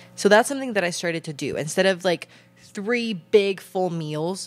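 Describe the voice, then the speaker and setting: This woman talks at a moderate pace with a fairly low pitch. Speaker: podcast host. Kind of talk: casual podcast advice talk. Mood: calm, earnest, supportive. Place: home room. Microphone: handheld.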